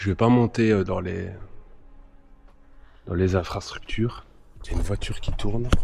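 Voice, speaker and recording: Fairly even intonation from a man with a very deep, low pitch, delivered at a moderate pace. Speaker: urban explorer vlogger. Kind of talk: casual vlog narration. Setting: outdoors at abandoned factory.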